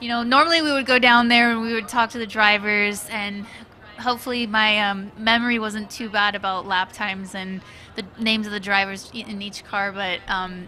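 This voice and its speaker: Fairly high in pitch, a woman speaks at a moderate pace with fairly even intonation. Her loudness swings widely, and background noise is noticeable. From US, Cuban-American family. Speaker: motorsport livestream co-host. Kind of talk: live commentary. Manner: halting.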